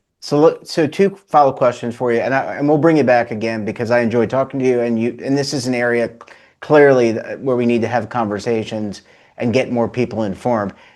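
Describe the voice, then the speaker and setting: This man has a plain, everyday voice at a medium pitch. He talks at a fairly quick pace with ordinary pitch variation. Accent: American. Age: 50s. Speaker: show host. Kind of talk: interview.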